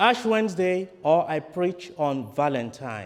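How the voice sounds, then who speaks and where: A man talks in a Nigerian accent at a high pitch. His pace is very slow and his pitch swings are very wide. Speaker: priest. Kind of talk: sermon.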